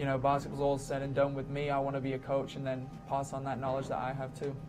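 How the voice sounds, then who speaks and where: Speaking very fast in a monotone, flat intonation, a man with a fairly high pitch comes through noticeable background noise and audible room echo. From England. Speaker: college basketball player. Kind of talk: media day interview. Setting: arena media day.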